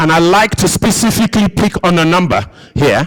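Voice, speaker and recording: With noticeable background noise behind him, a man talks at a fairly quick pace with a high pitch and lively intonation. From Nigeria. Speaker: conference speaker. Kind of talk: conference presentation.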